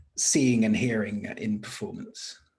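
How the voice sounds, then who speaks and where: The voice is somewhat breathy and moves at a very slow pace with ordinary pitch variation. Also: man. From France. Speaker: podcast host. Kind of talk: interview.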